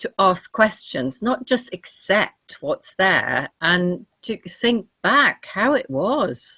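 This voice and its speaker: At a very slow pace, a woman of medium pitch speaks with a bright, sharp tone, vocal fry and very wide pitch swings. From continental Europe, then Norfolk from age ten. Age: 60s. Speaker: naturopath. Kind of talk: interview conversation.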